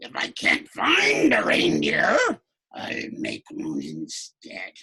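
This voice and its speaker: Growling and raspy, this put-on character voice moves at a very slow pace. It stays raspy throughout. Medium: read story. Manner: snarling, sneering.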